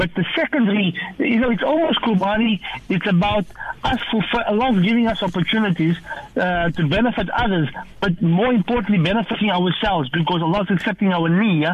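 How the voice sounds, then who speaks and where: The speaker talks at a fairly quick pace in an enthusiastic tone over noticeable background noise. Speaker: charity regional manager. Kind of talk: radio interview. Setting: remote call.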